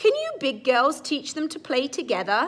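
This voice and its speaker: Putting on a character voice, a woman speaks at a high pitch and a moderate pace. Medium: read story.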